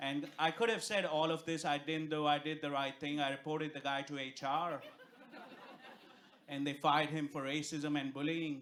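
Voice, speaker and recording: This man has a fairly high pitch. He speaks with an Indian accent. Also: moderate pace. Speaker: stand-up comedian. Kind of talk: stand-up. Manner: animated.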